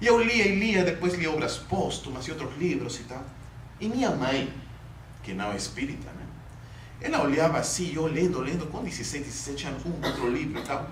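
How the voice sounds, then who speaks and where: Amid noticeable background noise and audible room echo, a man with a fairly high pitch and very wide pitch swings talks at a moderate pace. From Peru. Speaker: spiritist lecturer. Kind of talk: lecture. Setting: spiritist center with audience. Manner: conversational, with hesitations.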